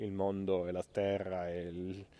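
A man's very deep, low voice, relaxed, dark and mellow, in a monotone, flat delivery on a very clean recording with a silent background. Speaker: priest. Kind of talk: casual live video chat outdoors. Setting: outdoors, walking on a road. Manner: relaxed, reflective.

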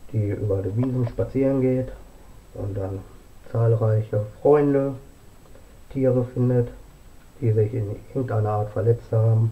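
Long, frequent pauses break up this man's fairly slow delivery. His intonation is fairly even. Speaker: home vlogger presenting books. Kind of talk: casual vlog chat. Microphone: camera far.

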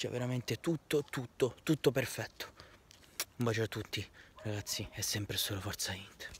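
Over light background noise, a man with a medium pitch and a somewhat breathy voice talks with ordinary pitch variation and long, frequent pauses. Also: moderate pace, dry sound with no echo. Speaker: football fan vlogger. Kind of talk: passionate fan rant, emotional tribute to the team and its coach, apologizing on camera. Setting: home video recording, wearing team shirt. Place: street. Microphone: phone near.

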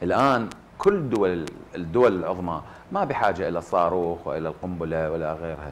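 This man has a very deep, low voice with an Iraqi accent. His pitch varies in an ordinary way over light background noise. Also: moderate pace. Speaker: actor. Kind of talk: TV panel discussion. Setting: studio. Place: studio. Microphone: lapel.

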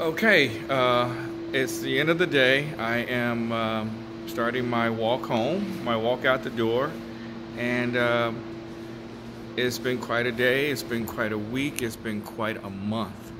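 Over noticeable background noise, a man speaks at a very slow pace with ordinary pitch variation. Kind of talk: casual vlog chat. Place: hall. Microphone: phone near.

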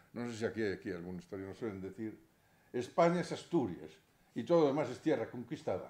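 A man's dark, mellow, medium-pitched voice with very wide pitch swings, a moderate pace, and audible room echo. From Spain. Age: 70s. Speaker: lawyer and former politician; lecturer. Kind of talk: lecture. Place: hall. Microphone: podium.

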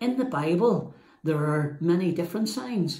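Audible room echo surrounds a man whose fairly high pitch, slightly mellow tone and lively intonation carry through.

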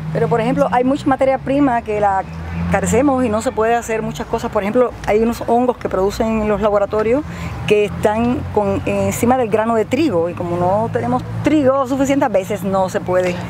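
Speaking very fast in a fairly high pitch, a woman is heard in a dry recording with no echo but noticeable background noise. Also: ordinary pitch variation. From Cuba. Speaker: agronomist; farm guide. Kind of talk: guided tour. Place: farm machine.

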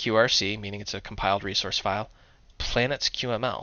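The voice belongs to a man. Intonation remains fairly even throughout. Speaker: programming tutorial presenter. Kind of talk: tutorial. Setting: screencast. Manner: casual, humorous.

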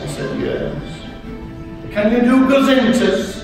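Amid strong room echo and clear music in the background, a man talks at a fairly slow pace. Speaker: guest. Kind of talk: ceremonial speech with anecdotes. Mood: humorous storytelling. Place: hall.

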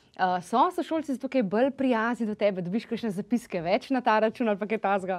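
Against a quiet background, a woman talks with lively intonation at a fairly high pitch. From Slovenia. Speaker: talk show host. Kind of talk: interview. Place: studio. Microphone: lapel.

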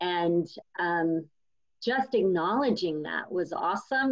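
At a fairly slow pace, a woman with a fairly low pitch and vocal fry speaks with lively intonation.

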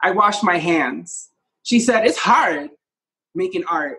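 The background is quiet. Speech moves at a fairly slow pace. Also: man. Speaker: poet. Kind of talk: poem performance. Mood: wry, playful. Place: home room. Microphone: phone near.

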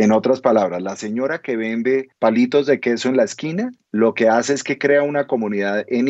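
Man's voice at a medium pitch and a moderate pace. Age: 50s. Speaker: entrepreneur. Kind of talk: interview.

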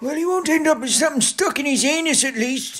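This put-on character voice is high-pitched and races along at a very fast pace. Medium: comedy sketch. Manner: gruff.

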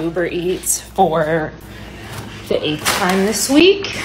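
A woman's voice over noticeable background noise. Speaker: mother vlogger. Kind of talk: casual vlog chat. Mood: playful, teasing. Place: home room. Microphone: phone near.

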